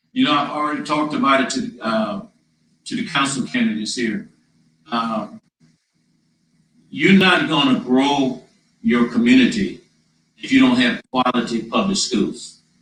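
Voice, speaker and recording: In a Louisiana accent, a man speaks at a moderate pace and a fairly high pitch with very wide pitch swings. Long, frequent pauses break up his speech. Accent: Louisiana Southern. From Louisiana, Donaldsonville. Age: 60s. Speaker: mayoral candidate. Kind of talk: town hall answers.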